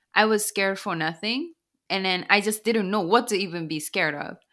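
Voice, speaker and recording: A woman speaks with a Japanese accent in a bright, sharp tone with ordinary pitch variation. The recording is very clean, with a silent background. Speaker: author and business consultant. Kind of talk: interview.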